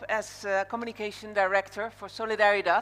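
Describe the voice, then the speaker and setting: Speaking at a moderate pace and medium pitch, a woman talks with a Dutch accent. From Netherlands. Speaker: conference MC. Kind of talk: event hosting speech. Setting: stage with audience.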